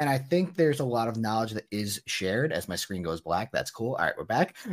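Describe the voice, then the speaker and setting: The recording is very clean and the background silent. A man speaks fairly quickly, his pitch swinging very widely. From New Jersey. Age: 20s. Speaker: sports card dealer. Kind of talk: interview.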